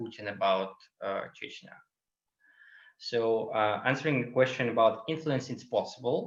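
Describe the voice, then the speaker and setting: A man with a Russian accent speaks at a medium pitch. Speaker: LGBTQ activist. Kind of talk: webinar Q&A answer. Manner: halting, many fillers.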